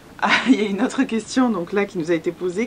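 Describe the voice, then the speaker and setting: A woman with a southern French accent amid noticeable background noise. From southern France, Hérault. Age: 20s. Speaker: YouTuber, expat vlogger. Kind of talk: casual Q&A chat. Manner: hesitant, many fillers.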